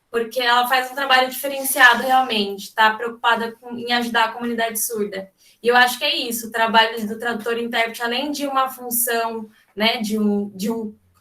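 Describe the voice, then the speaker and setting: Speaking at a fairly quick pace, a woman uses a fairly high pitch with monotone, flat intonation. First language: Brazilian Sign Language (speaking Portuguese). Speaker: sign language interpreter. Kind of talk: seminar talk. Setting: video call.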